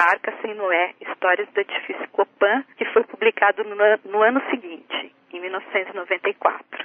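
At a very slow pace yet with hardly any pauses, a woman speaks at medium pitch with fairly even intonation. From interior of São Paulo state, Brazil. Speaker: writer and translator. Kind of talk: radio interview.

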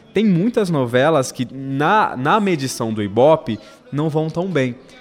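A fairly high-pitched man with lively intonation at a fairly slow pace, over noticeable background noise. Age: 30s. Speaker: television soap opera researcher. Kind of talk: casual chat. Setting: studio.

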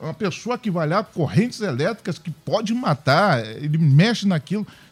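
Over music in the background, a man with a high pitch and very wide pitch swings comes through with a dry, close sound and no echo. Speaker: pastor. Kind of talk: prayer and panel discussion. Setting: radio studio.

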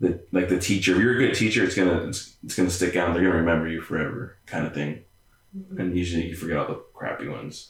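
Speaking at a very fast pace, a man with a very deep, low pitch sounds somewhat breathy, his intonation fairly even. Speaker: podcast co-host.

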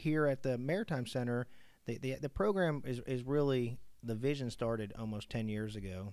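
Speaking in a normal speaking voice, a man keeps a moderate pace with ordinary pitch variation. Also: medium pitch for a man. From Pittsburgh, US. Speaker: maritime college administrator, Army veteran. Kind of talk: interview. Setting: his office.

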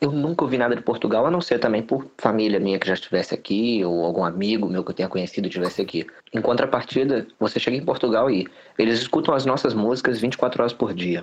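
A man speaks at a very fast pace and medium pitch with lively intonation. Noticeable background noise runs underneath. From Rio de Janeiro, Brazil. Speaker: immigrant student. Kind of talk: casual chat.

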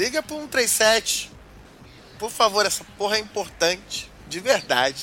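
A man speaks with very wide swings in pitch. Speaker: podcast co-host. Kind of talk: casual chat.

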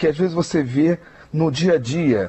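Here a man speaks in a somewhat breathy voice. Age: old. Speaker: social media analyst and radio commentator. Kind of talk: radio news commentary. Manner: halting.

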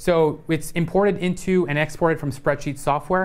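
Fairly high in pitch, a man talks at a moderate pace. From Indian-American family. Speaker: tech educator, livestreamer. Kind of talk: live coding tutorial. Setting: studio livestream. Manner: animated.

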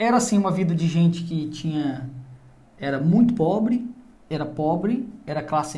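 This man has a dark, mellow tone and a high pitch, with lively intonation at a moderate pace. Audible room echo surrounds his voice. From Goiás, Brazil (interior). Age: 30s. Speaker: podcast host. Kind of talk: casual interview.

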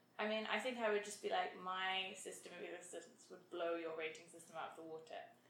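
A woman talks at a fairly quick pace and medium pitch, her loudness swinging widely. Her intonation stays fairly even, and background noise is noticeable. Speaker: podcast co-host. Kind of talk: casual chat between friends. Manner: talkative, rambling, humorous.

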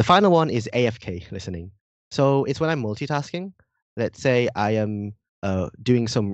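A man talks with lively intonation in a slight British accent. The background is quiet. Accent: slightly British-sounding English. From Indonesia, partly raised in Britain. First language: Indonesian. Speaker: university student and language learner. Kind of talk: casual podcast interview.

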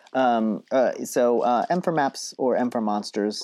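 On a very clean recording with a silent background and a dry, close sound with no echo, a man at medium pitch with an unremarkable speaking voice uses lively intonation. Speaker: podcast host. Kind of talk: casual podcast discussion about RPG design.

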